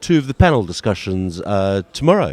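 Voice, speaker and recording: He has an unremarkable speaking voice. The man talks at a moderate pace with lively intonation. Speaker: event interviewer. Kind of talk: live event interview host.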